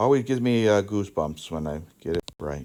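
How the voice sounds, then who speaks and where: A man speaks at a fairly low pitch with lively intonation and a moderate pace. The recording is very clean, with a silent background. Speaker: math teacher. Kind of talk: lecture.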